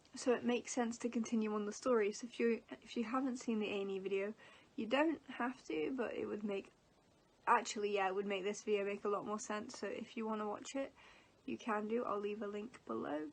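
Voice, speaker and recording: In an English accent, a woman talks at a fairly quick pace with a fairly high pitch and ordinary pitch variation. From England. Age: 20s. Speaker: vlogger. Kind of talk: casual vlog talk. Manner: hesitant, filler words.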